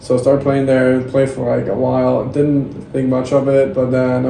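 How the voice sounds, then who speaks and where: The intonation stays monotone and flat. Noticeable background noise and audible room echo fill the recording. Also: man. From Denmark. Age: 20s. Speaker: volleyball player. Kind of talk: podcast interview.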